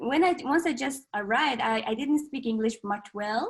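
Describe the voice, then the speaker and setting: A woman is talking. She has a Mongolian accent. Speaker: contortionist. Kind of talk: casual chat. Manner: halting, frequent fillers.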